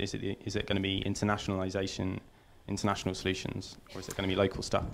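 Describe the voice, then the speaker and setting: Someone talks at a very fast pace over light background noise. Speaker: audience member. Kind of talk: Q&A question. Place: hall.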